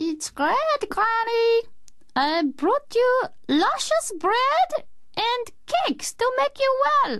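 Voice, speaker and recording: Using a put-on character voice, a woman speaks very slowly in a squeaky, extremely high pitch. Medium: read story. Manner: purring, honeyed, sly.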